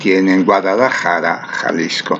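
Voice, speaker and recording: Over noticeable background noise, a man speaks at a fairly slow pace with ordinary pitch variation. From northern Italy, near Venice. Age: 70s. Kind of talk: religious reflection. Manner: halting.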